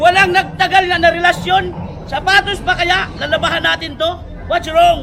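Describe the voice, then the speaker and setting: Over crowd noise in the background, a man projects a raised voice at an extremely high pitch. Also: moderate pace. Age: 50s. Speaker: street shoe vendor. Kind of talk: sales pitch. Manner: animated.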